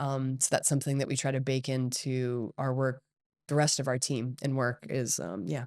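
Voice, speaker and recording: In a very clean recording with a silent background, a woman with an American accent speaks at a moderate pace in a very deep, low voice with an energetic tone. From Hong Kong and Singapore, Californian family. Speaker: company CEO and entrepreneur. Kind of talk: podcast interview.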